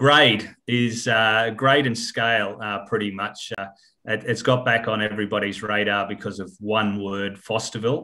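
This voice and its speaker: Speaking at a moderate pace in a monotone, flat intonation, a man with an Australian accent has a fairly low pitch and a bright, sharp tone over a very clean recording with a silent background. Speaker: mining company chairman. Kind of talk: interview. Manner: hesitant, many fillers.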